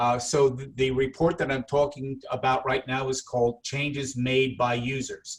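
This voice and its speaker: A man talks at a moderate pace with hardly any pauses, his pitch medium. His intonation is monotone and flat, and his voice is somewhat breathy. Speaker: product trainer. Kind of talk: training webinar.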